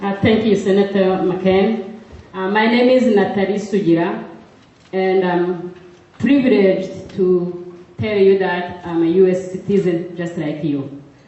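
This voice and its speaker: A woman speaks at a fairly slow pace with a medium pitch, a non-native accent and fairly even intonation. Noticeable background noise and audible room echo sit behind her voice. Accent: foreign. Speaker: audience member, advocacy worker. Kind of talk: audience question. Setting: campaign town hall with audience.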